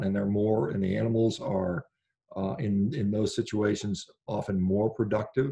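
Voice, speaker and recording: A man's fairly low, dark, mellow voice, somewhat breathy, at a moderate pace with ordinary pitch variation and a quiet background. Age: 50s. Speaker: physician and carnivore diet advocate; podcast guest. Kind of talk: interview conversation. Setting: remote call. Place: home room. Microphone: video call.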